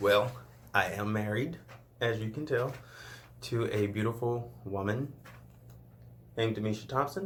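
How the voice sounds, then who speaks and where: A somewhat breathy man at a medium pitch, with ordinary pitch variation, long, frequent pauses, and audible room echo. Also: moderate pace. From Louisiana (rural southwest). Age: 20s. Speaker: YouTuber. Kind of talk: casual Q&A vlog.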